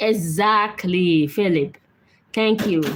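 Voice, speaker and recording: Somewhat breathy, a woman speaks with lively intonation. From Nigeria. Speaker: live-stream host. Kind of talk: live stream chat with viewers. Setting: live video stream. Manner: speaking gently and slowly to be understood.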